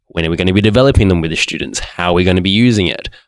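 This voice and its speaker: A man speaks with an Australian accent. His pitch is very deep and low, with ordinary variation. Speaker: teacher. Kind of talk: panel discussion.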